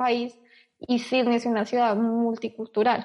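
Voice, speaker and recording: A woman speaks in a high voice with monotone, flat intonation. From Colombia, Bogotá. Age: 20s. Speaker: emigrant sharing her experience. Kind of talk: casual interview.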